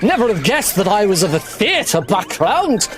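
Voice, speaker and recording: Against noticeable background noise, a man with a British accent speaks at a moderate pace. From Britain. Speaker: speedrunner. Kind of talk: live commentary. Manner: halting.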